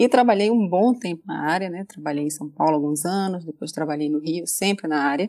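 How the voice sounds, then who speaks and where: A woman speaks at a fairly quick pace with hardly any pauses. Her tone is dark and mellow. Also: fairly low pitch for a woman, ordinary pitch variation. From Brazilian Northeast. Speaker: data protection specialist. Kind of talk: interview.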